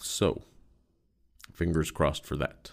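Against a quiet background, a man with vocal fry speaks at a moderate pace. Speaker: podcast host. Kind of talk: casual solo podcast monologue. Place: home room.

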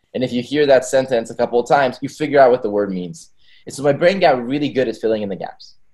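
Against a quiet background, a man talks at a very fast pace with big swings in loudness and ordinary pitch variation. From Israel. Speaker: tech startup founder. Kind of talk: interview conversation. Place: home room. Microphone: video call.

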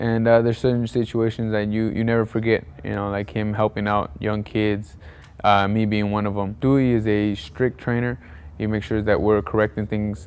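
Speaking at a moderate pace, a man uses a fairly low pitch and a monotone, flat intonation. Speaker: interviewee. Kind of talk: interview answer. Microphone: lapel.

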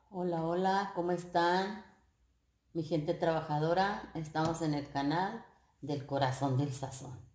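In a fairly low voice, a woman speaks at a fairly slow pace. Audible room echo surrounds her. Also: ordinary pitch variation. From northern Mexico, Coahuila. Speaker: home cooking youtuber. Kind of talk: cooking tutorial. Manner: warm, chatty. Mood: warm, friendly. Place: kitchen. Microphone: camera far.

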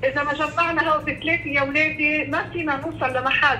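With noticeable background noise, a woman in a Lebanese accent speaks in a high-pitched, raised, projected voice. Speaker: nun, school principal. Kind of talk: phone interview answer. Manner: upset, distressed.

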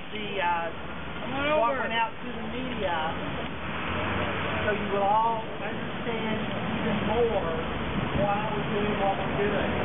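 A man speaks at a very slow pace. Loud background noise is present. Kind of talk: rally speech. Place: street. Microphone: camera far.

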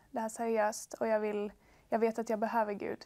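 A woman's fairly high-pitched voice with a dark, mellow tone and monotone, flat intonation, against a quiet background. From Sweden (Värnamo, Småland); Sweden. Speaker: bible school student; talk show guest. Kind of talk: testimony. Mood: warm, reflective. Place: studio. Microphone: lapel.

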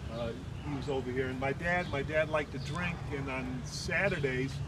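A man with an American accent talks at a moderate pace against noticeable background noise. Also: dry sound with no echo. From Chicago, Humboldt Park. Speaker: poet recounting his immigrant childhood. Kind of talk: elder life story, walking-tour reminiscence of the old neighborhood. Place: street. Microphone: phone near.

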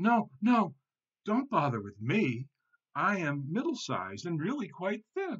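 Slowly delivered, a put-on character voice with a slightly husky edge and a fairly bright tone swings very widely in pitch. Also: man, high pitch for a man.

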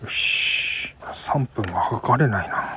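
Over noticeable background noise, a man with a Tohoku accent speaks in a dry sound with no echo. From Miyagi, Tohoku. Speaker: motovlogger. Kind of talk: casual talk to camera. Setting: outdoors. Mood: relaxed, pleased. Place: open country. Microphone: phone near.

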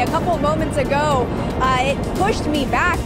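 A woman talks over loud background music. The sound is dry, with no echo. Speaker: field news reporter. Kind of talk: live news report. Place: open country. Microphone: handheld.

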